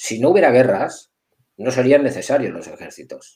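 This man has a dark, mellow tone at a medium pitch and talks at a fairly quick pace. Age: 50s. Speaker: security director. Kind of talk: interview. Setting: live video call.

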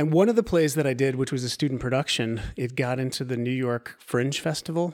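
In a very clean recording with a silent background, a man with an American accent uses a plain, everyday voice at medium pitch with fairly even intonation. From US Pacific Northwest, Oregon coast. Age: 30s. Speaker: actor and movement teacher. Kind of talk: casual interview.

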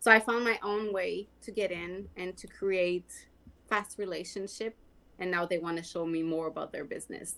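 A woman with a Quebec accent, medium pitch and fairly even intonation. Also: moderate pace. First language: French. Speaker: skin care sales rep. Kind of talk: casual interview.

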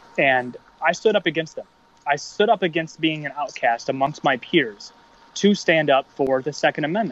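Fairly high male voice, a normal speaking voice, with ordinary pitch variation at a moderate pace. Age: 30s. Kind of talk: casual chat.

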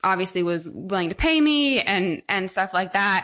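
A woman's medium-pitched, bright, sharp voice with an American accent, at a moderate pace over a quiet background. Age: 20s. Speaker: wedding photographer. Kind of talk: casual interview.

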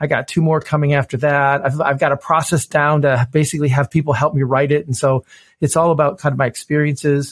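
Speaking very fast, a man uses a fairly high pitch and a flat, monotone delivery. The recording is very clean with a silent background and a dry, close sound without echo. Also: very even loudness. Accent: American. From US Midwest, Detroit, Michigan. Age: 50s. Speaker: innovation consultant. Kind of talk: interview conversation. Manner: repetitive false starts.

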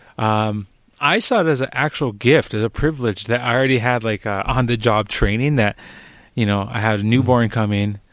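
A man with an unremarkable speaking voice talks at a fairly quick pace and medium pitch, his intonation fairly even. The recording is very clean, with a silent background. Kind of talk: casual chat.

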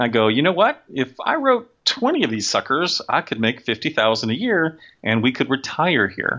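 Moderate pacing and lively intonation in an unremarkable speaking voice. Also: man, medium pitch for a man. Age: 50s. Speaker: sci-fi and fantasy author. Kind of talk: casual interview.

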